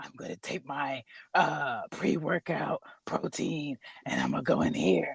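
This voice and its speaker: A raspy, put-on character voice with a low-to-middle pitch speaks at a moderate pace. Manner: macho, mocking.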